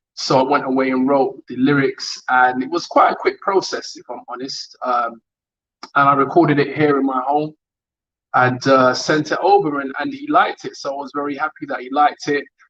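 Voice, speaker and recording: Using a London accent, a man talks at a moderate pace with a fairly high pitch, fairly even intonation and big swings in loudness. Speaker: rapper. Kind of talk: online interview. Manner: hesitant.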